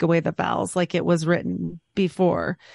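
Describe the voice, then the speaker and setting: Over a quiet background, a woman with a fairly low pitch speaks at a fairly slow pace in a dry, close sound with no echo. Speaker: podcaster guest. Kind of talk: casual roundtable discussion.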